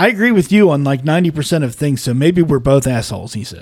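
Lively in intonation, a man with a plain, everyday voice and fairly high pitch speaks at a moderate pace. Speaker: podcast host. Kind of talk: casual banter podcast.

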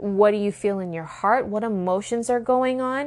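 In a plain, everyday voice, a woman speaks fairly slowly at a medium pitch with ordinary pitch variation against a quiet background. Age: 30s. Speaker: spiritual life coach. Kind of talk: solo teaching podcast.

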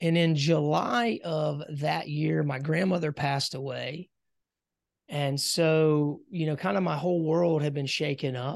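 A man with an American accent speaks at a fairly slow pace. He has a normal speaking voice and a fairly high pitch. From US South, South Carolina. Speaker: business coach and entrepreneur. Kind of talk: interview conversation.

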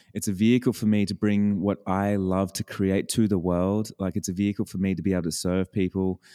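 A man's fairly low, dark, mellow voice with an Australian accent at a very fast pace, dry and close with no echo, on a very clean recording with a silent background. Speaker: business coach. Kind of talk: casual interview chat. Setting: studio, early morning.

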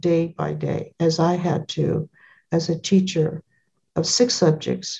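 A woman's somewhat breathy, dark, mellow voice at a fairly low pitch, very slow, with fairly even intonation. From California. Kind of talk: interview.

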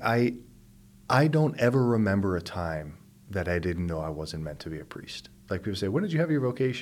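An American man speaks at a very fast pace with a fairly low pitch. His intonation is lively. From US, Pittsburgh. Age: 40s. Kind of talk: interview conversation. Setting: studio.

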